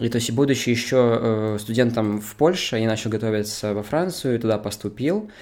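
A man with a normal speaking voice talks at a moderate pace and a medium pitch, using fairly even intonation. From Belarus. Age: 20s. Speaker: 2D animator and animation student. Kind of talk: casual interview.

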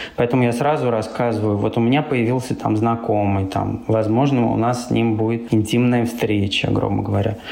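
Speaking at a moderate pace with hardly any pauses, a man keeps very even loudness and fairly even intonation amid noticeable background noise and audible room echo. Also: medium pitch for a man. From Russia, Samara. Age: 30s. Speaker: blogger and apartment rental owner. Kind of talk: casual chat.

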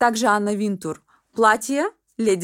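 Pitch shifts in an ordinary way. Behind the voice, the background is silent and the recording very clean. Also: woman. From Russian Far East, Vladivostok. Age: 30s. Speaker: personal stylist. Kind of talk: podcast interview.

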